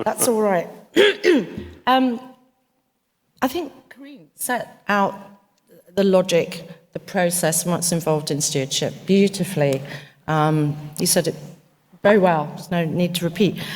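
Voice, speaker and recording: Pausing long and often, a woman speaks at a moderate pace and fairly low pitch, somewhat breathy, with ordinary pitch variation and big swings in loudness. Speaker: investment executive, panelist. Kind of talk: panel discussion.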